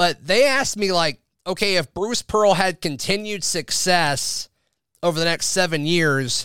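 In a very clean recording with a silent background and a dry, close sound free of echo, a man with a bright, sharp tone speaks at a moderate pace. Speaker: sports podcast host. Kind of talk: casual sports talk podcast.

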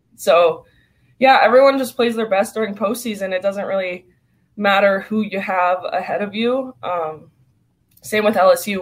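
A woman speaks with an American accent at a moderate pace. Her medium pitch shows ordinary variation. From California. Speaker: college softball pitcher. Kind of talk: interview.

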